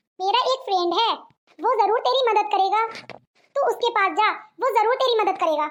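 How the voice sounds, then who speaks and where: A woman's squeaky, cartoonish character voice at an extremely high pitch, with ordinary pitch variation, very even loudness, a moderate pace and long, frequent pauses. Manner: reassuring, warm.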